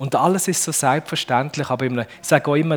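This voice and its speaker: Speaking with a Fribourg accent, a man uses lively intonation and an animated tone. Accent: Fribourg Swiss German dialect. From Switzerland, Düdingen near Fribourg. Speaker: speaker with a bionic prosthetic hand. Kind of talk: talk to children. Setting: stage with audience.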